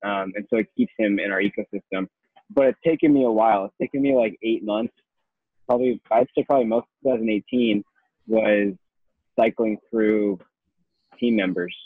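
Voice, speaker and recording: A man with ordinary pitch variation and long, frequent pauses. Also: medium pitch for a man, moderate pace. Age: 20s. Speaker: marketing agency owner. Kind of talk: casual interview.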